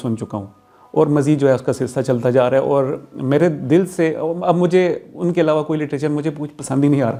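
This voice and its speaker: This man's voice has a dark, mellow tone, a fairly high pitch, and fairly even intonation. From Abbottabad, Pakistan. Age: 40s. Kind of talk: interview answer.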